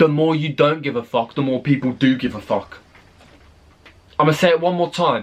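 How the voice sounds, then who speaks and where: With a British accent, a man speaks. His pitch is fairly high. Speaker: YouTube reaction creator. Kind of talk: video reaction commentary.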